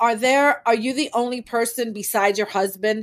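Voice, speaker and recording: A woman with an American accent speaks at a moderate pace and fairly high pitch in an ordinary speaking voice. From New York City (Manhattan). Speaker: podcast host and wardrobe stylist. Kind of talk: casual interview chat.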